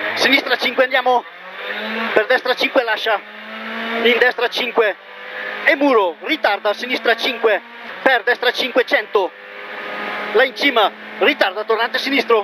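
A man projects his voice at an extremely high pitch with fairly even intonation. The sound is dry with no echo, and there is noticeable background noise. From Italy. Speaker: rally co-driver reading pace notes. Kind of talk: rally co-driver reading pacenotes aloud. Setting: in a rally car. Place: car. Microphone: helmet.

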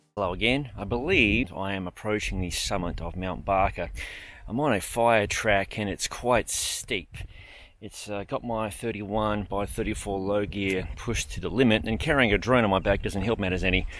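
At a moderate pace, a man with a normal speaking voice and fairly low pitch talks with ordinary pitch variation, the sound dry with no echo. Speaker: cycling vlogger. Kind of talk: casual vlog chat. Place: open country. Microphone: phone near.

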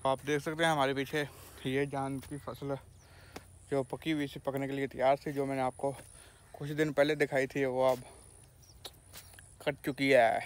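At a fairly slow pace, a man with a medium-pitched voice and little pitch movement speaks with long, frequent pauses.

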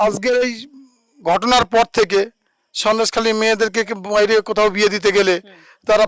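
A man speaks at a high pitch in a monotone, flat delivery. The sound is dry and close with no echo, on a very clean recording with a silent background. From Sandeshkhali, West Bengal. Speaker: local resident. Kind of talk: street interview.

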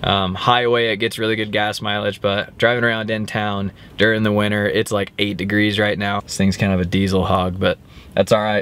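At a moderate pace, a man speaks in a flat monotone. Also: dry sound with no echo. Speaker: hunting vlogger. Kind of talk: casual vlog chat. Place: car. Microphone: phone near.

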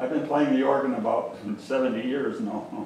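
Audible room echo surrounds a man speaking at a medium pitch and a moderate pace. His intonation is fairly even and his tone slightly mellow.

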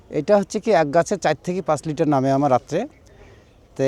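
Dark, mellow male tones, recorded dry and close without any echo. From Rangpur, northern Bangladesh. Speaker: date palm sap collector and seller. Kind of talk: casual interview.

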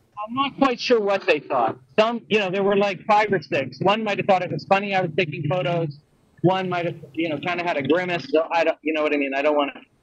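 A man at a high pitch and a very fast pace, over a quiet background. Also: ordinary pitch variation. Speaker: remote correspondent. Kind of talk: casual chat. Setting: outdoors. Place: street. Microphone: gargling noise on the line; video call.

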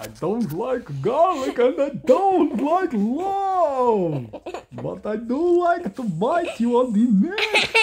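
In a put-on character voice at a fairly high pitch, the speaker drags along at a very slow pace with very wide pitch swings over clear background noise. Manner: menacing, playful.

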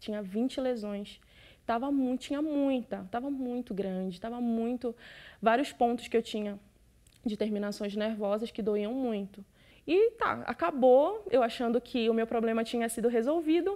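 With a dark, mellow tone, a woman speaks fairly slowly at a fairly high pitch, with ordinary pitch variation. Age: 20s. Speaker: church member giving testimony. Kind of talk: testimony; interview answer. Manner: halting. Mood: emotional, grateful. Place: studio.

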